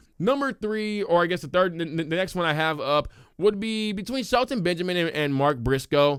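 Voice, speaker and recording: With an animated tone and lively intonation, a man speaks at a high pitch and moderate pace on a very clean recording with a silent background. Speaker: wrestling commentator. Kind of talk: casual solo livestream talk.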